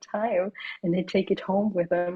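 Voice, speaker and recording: In a German accent, a woman speaks at a medium pitch and moderate pace. Her voice is somewhat breathy and her intonation monotone and flat. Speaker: singer-songwriter and sound healer. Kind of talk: podcast interview. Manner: halting.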